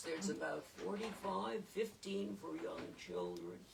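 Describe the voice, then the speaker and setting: A woman talks at a very slow pace, with audible echo from the room. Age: 80s+. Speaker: local historian leading a talk. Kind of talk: informal talk. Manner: off the cuff.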